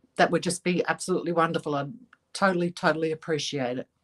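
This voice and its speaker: The speaker has an Australian accent and moves at a fairly quick pace. The sound is dry and close, without echo. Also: woman. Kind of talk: livestream chat. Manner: clear and articulate; halting.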